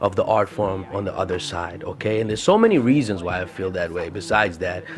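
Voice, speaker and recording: An animated man with an Arabic accent and a fairly low pitch, at a fairly quick pace over noticeable background noise. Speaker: podcast host. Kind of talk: casual solo podcast talk. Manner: animated, halting with fillers.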